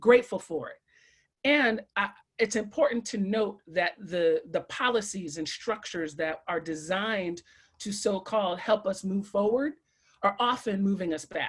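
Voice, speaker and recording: Somewhat breathy and animated, a woman speaks with an American accent. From Brooklyn, New York. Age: 40s. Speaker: educator. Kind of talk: panel talk.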